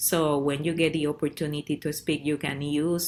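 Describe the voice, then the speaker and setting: A woman's very deep, low voice with vocal fry and a Spanish accent, at a fairly quick pace. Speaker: parent advocate and program director. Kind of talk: presentation. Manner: halting.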